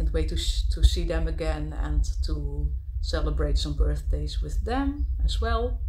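Over light background noise, a woman with a Dutch accent speaks at a fairly slow pace. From Netherlands. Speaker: travel vlogger. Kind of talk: casual vlog monologue. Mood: personal, reflective. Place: home room. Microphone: phone near.

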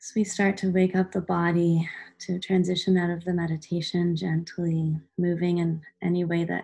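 Against a quiet background, a woman's fairly low, somewhat breathy voice has a dark, mellow tone and fairly even intonation. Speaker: meditation guide. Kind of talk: guided meditation. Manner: slow, soothing, gentle pacing with calm pauses; soft-spoken, warm, instructional. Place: home room. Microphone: webcam.

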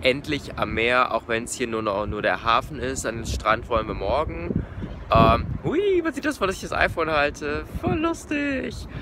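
The sound is dry, with no echo, but background noise is noticeable. The speaking pace is fairly slow. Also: man. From Germany. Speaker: vegan travel vlogger; travel vlogger. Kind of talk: travel vlog narration. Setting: outdoors. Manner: casual, filler-heavy.

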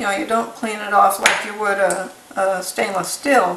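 Light background noise and audible room echo surround a woman whose intonation stays fairly even. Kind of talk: tutorial. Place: kitchen. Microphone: camera far.

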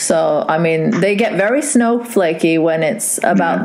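A woman speaks over noticeable background noise. The room echo is audible. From Saudi Arabia. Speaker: podcast host. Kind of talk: casual chat.

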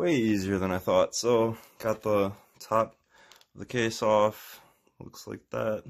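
Very slow speech full of long, frequent pauses over a quiet background. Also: man. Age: 20s. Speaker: tech tutorial youtuber. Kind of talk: tutorial. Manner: casual, hesitant with fillers. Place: home room. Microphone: phone near.

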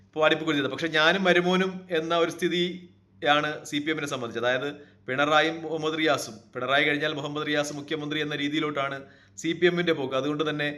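Fairly high male voice, intonation fairly even, room echo audible. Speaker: political commentator. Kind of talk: political commentary monologue.

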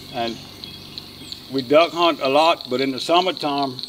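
A man's fairly high voice with fairly even intonation, over noticeable background noise. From Louisiana. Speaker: duck call maker and hunter. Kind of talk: casual documentary interview. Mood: warm, nostalgic. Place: forest.

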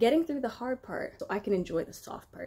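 A woman speaks with light background noise behind her. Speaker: vlogger. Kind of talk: casual vlog chat. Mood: cheerful, relaxed. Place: home room. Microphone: phone near.

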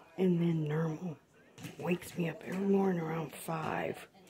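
Against light background noise, a woman speaks in a fairly low pitch. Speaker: cat owner. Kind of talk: casual home video narration. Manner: whispered. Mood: affectionate, tender. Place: home room. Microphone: phone near.

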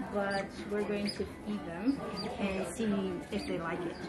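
Over loud background noise, a woman talks at a fairly slow pace. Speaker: travel vlogger. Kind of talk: casual vlog chat. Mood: excited, delighted. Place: cafe. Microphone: phone near.

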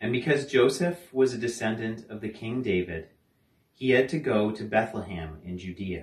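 Somewhat breathy male speech at a moderate pace with audible room echo. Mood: calm, reverent. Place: home room. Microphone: camera far.

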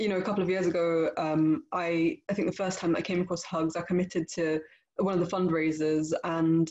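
A woman speaks at a fairly low pitch and a fairly quick pace, monotone and flat in intonation, with very even loudness. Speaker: guest. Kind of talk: casual address to an online audience. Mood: warm, grateful. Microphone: webcam.

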